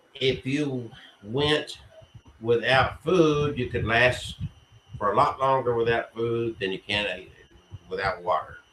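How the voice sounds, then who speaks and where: Clear background noise runs beneath a man speaking rather slowly. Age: 60s. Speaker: spiritualist church host. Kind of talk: livestream talk.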